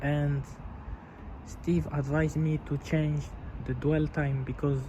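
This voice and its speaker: The speaker talks with a non-native accent and monotone, flat intonation. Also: man. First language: not English. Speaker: car enthusiast video host. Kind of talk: casual video tutorial. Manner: halting, with repeated words.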